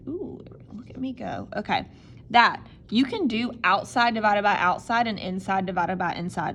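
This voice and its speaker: Lively in intonation, a woman with an unremarkable speaking voice talks at a moderate pace in a fairly high pitch. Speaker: math teacher. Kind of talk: tutorial.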